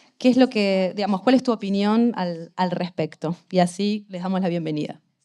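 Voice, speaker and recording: On a very clean recording with a silent background, a woman speaks in a dark, mellow tone at medium pitch. She keeps a moderate pace and ordinary pitch variation. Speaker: art historian, interviewer. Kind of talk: interview introduction. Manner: hesitant, many fillers.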